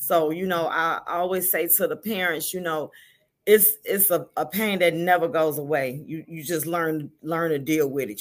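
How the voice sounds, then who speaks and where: A woman with an American accent speaks in a normal speaking voice at a moderate pace, her fairly low pitch moving with ordinary variation, on a very clean recording with a silent background. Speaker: grieving mother and volunteer with a support organization. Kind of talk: testimony.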